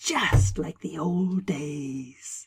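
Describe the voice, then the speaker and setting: Putting on a character voice, a woman speaks raspy and very deep, with a low pitch and lively intonation. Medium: read story. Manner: calm, soft, knowing.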